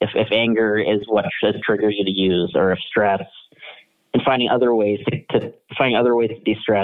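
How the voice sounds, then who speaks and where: Monotone, flat intonation comes at a fairly quick pace, with a Midwestern American accent. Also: man. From Kansas, US Midwest. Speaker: political writer and addictions counselor. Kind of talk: casual interview.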